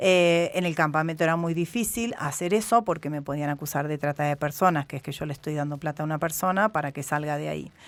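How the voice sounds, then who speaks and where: A woman with an Argentine accent and a very deep, low pitch speaks at a very fast pace with hardly any pauses. Her ordinary pitch variation is captured on a very clean recording with a silent background. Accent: Argentine Spanish (Rioplatense). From Argentina. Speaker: journalist. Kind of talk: interview. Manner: hesitant, many fillers.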